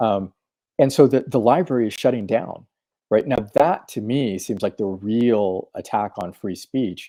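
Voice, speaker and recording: A man's dark, mellow tone at a moderate pace, ordinary pitch variation, dry and close sound with no echo. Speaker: podcast host. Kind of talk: casual debate. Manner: halting, many repetitions.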